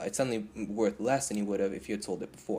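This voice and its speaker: A man speaks at a very fast pace with fairly even intonation. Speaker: gaming video creator. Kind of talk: tutorial. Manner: hesitant, many fillers.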